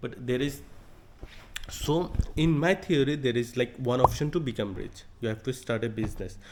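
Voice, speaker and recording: With a non-native accent, a man talks at a moderate pace with ordinary pitch variation. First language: not English. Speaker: vlogger starting a business. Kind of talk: casual vlog monologue. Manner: halting, with stutters and fillers.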